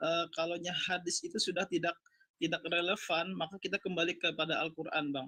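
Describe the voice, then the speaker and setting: A man's high-pitched voice with a South Kalimantan accent, bright and sharp in tone, monotone and flat in intonation, very even in loudness, at a fairly quick pace. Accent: Banjar. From South Kalimantan, Indonesia (Banjar). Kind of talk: heated debate. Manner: halting.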